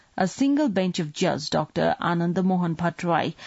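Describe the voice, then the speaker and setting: A woman's fairly low, somewhat breathy voice at a moderate pace. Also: quiet background. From Nepal. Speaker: radio newsreader. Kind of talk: news reading. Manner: formal. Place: studio.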